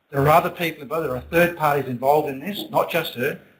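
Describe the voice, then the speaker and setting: A man with an Australian accent, fairly high in pitch, with ordinary pitch variation. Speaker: city councillor. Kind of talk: council meeting statement. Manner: loud; halting.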